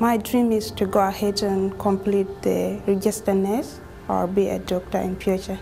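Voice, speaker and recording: Noticeable background noise sits under a woman's medium-pitched voice. She keeps a moderate pace and monotone, flat intonation. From South Sudan. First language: not English. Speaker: nursing graduate. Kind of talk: testimony.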